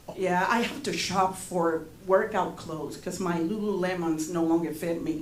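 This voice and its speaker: A woman talks at a moderate pace with fairly even intonation, with audible room echo and noticeable background noise. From Panama. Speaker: stand-up comedian. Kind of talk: stand-up. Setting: stage with audience.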